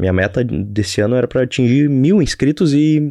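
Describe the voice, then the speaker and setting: A man with a dark, mellow tone and lively intonation speaks over a quiet background. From Brazil, Rio Grande do Sul (Novo Hamburgo). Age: 20s. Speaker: podcaster and YouTuber, entrepreneur. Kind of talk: casual solo monologue. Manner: halting, repeats words.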